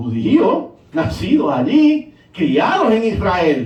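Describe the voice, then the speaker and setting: Amid noticeable background noise and audible room echo, a man with a Puerto Rican accent speaks in an animated tone with very wide pitch swings. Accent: Puerto Rican sing-song Spanish. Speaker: pastor. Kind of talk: sermon.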